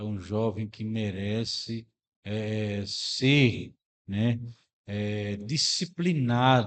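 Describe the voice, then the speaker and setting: A man talks at a very slow pace. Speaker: radio announcer. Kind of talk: religious commentary to listeners.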